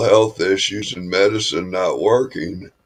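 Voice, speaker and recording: A man speaks at a fairly slow pace. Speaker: live streamer. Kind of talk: casual chat.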